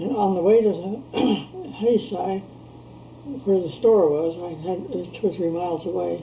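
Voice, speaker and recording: Noticeable background noise sits behind a woman's voice. She speaks at medium pitch and a moderate pace with ordinary pitch variation. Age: old. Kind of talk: interview answer.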